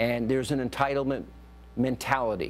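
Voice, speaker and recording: A man with an ordinary speaking voice and a medium pitch talks at a moderate pace. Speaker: TV news talk show host. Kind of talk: TV panel discussion.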